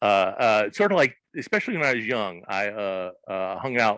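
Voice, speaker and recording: This man's voice sits fairly low and has a bright, sharp tone. He speaks with an American accent. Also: dry, close sound with no echo. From US South, southern Arkansas. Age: 60s. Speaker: comics creator. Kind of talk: interview. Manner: halting, many fillers.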